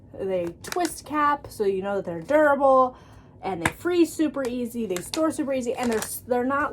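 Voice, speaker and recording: Over noticeable background noise, a woman speaks with lively intonation and a high pitch. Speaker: vlogger. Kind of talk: product review vlog. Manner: animated.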